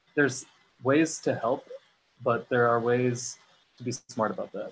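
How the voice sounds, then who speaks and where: A man with an American accent speaks at a moderate pace. His pitch sits in the medium range. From US, Syrian American family. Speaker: actor. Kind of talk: panel discussion.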